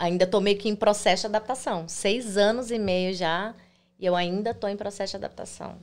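On a very clean recording with a silent background, a woman speaks at a moderate pace. She has an unremarkable speaking voice with ordinary pitch variation. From Brazil, Goiânia (Goiás). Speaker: immigrant content creator. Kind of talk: interview. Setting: livestream.

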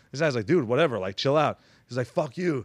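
A man speaks in a plain, everyday voice, pitched fairly high, with ordinary pitch variation. The sound is dry and close with no echo, over a quiet background. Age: 30s. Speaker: podcast host. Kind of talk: casual chat.

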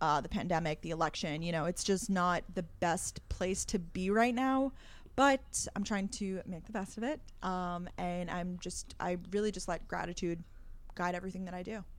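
This is an ordinary speaking voice from a woman with an American accent. Her pitch is medium, with ordinary variation, at a moderate pace. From Long Island, New York. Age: 20s. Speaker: content creator and podcaster. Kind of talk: casual interview.

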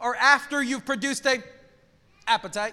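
A man with an extremely high pitch talks in a raised, projected voice, his tone bright, sharp and animated at a fairly quick pace. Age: 40s. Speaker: pastor. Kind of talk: sermon.

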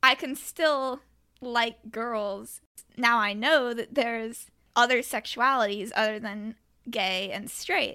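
Speaking at a very slow pace, a woman with a fairly high pitch, ordinary pitch variation and a bright, sharp tone is heard in a very clean recording with a silent background. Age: 20s. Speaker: true crime podcaster and restaurant worker. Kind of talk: casual interview chat.

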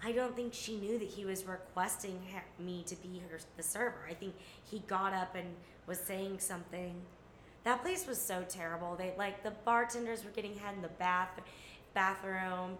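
With an American accent and a medium pitch, a woman talks with fairly even intonation over noticeable background noise. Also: moderate pace. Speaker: guest. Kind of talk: casual chat.

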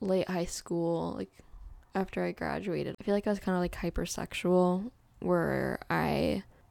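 The recording is very clean, its background silent. A woman speaks at a moderate pace. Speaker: podcast co-host. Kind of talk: casual chat. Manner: animated, laughs often.

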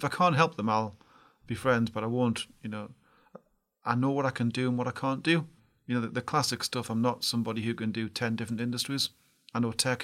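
Speaking at a very fast pace, a man uses a medium pitch and fairly even intonation. Long pauses come often. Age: 50s. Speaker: tech entrepreneur. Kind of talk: podcast interview.

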